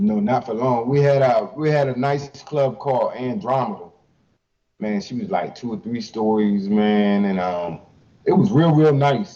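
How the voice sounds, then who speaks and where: Speaking with an American accent, a man sits at medium pitch and moves at a fairly slow pace. His pitch swings very widely. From Eastern Shore, Maryland (Salisbury). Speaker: hip hop artist. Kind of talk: interview. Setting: live stream.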